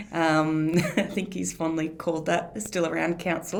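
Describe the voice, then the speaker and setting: A woman speaks in an Australian accent at a fairly low pitch. Her intonation stays fairly even. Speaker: council communications officer. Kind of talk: podcast interview host.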